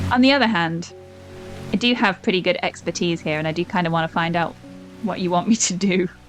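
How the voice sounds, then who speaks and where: Woman's fairly low voice with ordinary pitch variation, music in the background. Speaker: gaming YouTuber. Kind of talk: casual talk to camera, gaming commentary.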